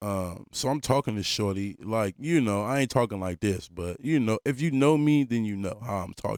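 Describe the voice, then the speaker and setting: Recorded with a dry, close sound and no echo, a man speaks at a moderate pace and medium pitch, with hardly any pauses. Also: lively intonation. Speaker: podcast host. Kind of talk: casual chat. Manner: loud.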